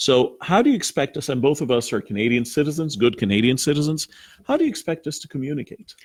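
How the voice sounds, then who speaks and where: Very fast and lively in intonation, a man speaks in a fairly high, somewhat breathy voice. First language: Arabic. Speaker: TV program host. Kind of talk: interview.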